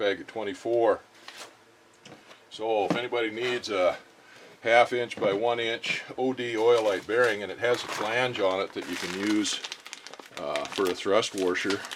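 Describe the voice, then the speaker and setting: Noticeable background noise accompanies a man of medium pitch whose relaxed tone, monotone, flat intonation and fairly slow pace are broken by long, frequent pauses. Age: 60s. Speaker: machinist and workshop vlogger. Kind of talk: casual workshop vlog, unboxing. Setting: home workshop. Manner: relaxed, hesitant with fillers.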